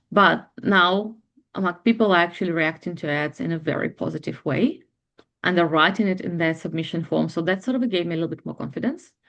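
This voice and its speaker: Over a quiet background, a woman with a non-native accent talks fairly quickly in a fairly low voice with ordinary pitch variation. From Ukraine. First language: not English (eighth language). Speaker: bridal makeup artist and hairstylist. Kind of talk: client testimonial interview. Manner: fast.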